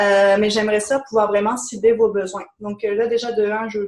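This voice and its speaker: Speaking very fast, a woman holds a fairly high pitch in a monotone, flat intonation. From France. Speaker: business coach. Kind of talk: webinar presentation.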